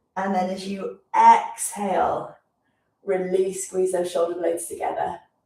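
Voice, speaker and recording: Her words come fairly slowly. The woman has a British accent. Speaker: physiotherapist leading exercise class. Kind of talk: guided exercise class. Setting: live stream.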